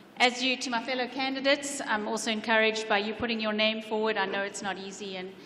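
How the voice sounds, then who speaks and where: A woman with a South African accent talks at a very fast pace in a fairly high pitch. Her intonation is fairly even, and there is noticeable background noise. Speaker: council candidate. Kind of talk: candidate debate speech. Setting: public event with audience.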